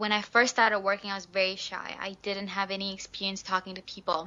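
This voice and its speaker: A woman talks at a fairly quick pace in a Malaysian accent. Her intonation is monotone and flat. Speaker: beauty pageant winner and ambassador. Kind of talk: interview. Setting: Skype call.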